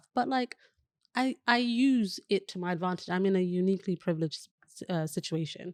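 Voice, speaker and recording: A woman with a British accent and a medium pitch, in a dry, close sound with no echo and a quiet background. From West London, England. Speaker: digital wellbeing specialist and entrepreneur. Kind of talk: podcast interview.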